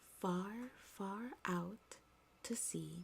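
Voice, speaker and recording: The speaker is soft-spoken, with a gentle, calm tone. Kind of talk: soft-spoken ASMR story reading. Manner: soft-spoken, gentle, calm.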